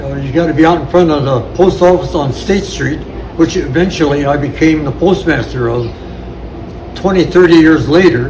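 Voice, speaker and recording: A man in an American accent with a fairly high pitch, ordinary pitch variation and a moderate pace, amid audible room echo and noticeable background noise. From Ohio, US Midwest. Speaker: war veteran. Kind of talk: interview storytelling. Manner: halting.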